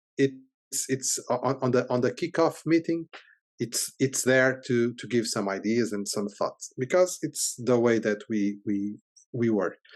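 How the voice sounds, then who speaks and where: Against a quiet background, a man with a Portuguese accent speaks at a fairly slow pace with a medium pitch and ordinary pitch variation. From Portugal. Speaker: software company CEO. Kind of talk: interview. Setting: podcast interview. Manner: halting, many repetitions.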